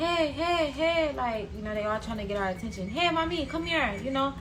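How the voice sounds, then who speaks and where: At a moderate pace and with an American accent, the voice swings very widely in pitch amid noticeable background noise and audible room echo. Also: woman. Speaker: storytime vlogger. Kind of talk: storytime monologue.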